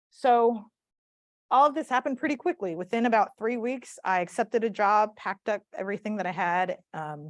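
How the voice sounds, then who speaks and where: A woman with a strong Southern US accent talks at a fairly quick clip in a fairly high pitch, her intonation lively, the sound dry and close with no echo over a quiet background. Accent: thick Southern US. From US South, South Mississippi. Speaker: community organizer and speaker. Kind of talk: talk to a live audience.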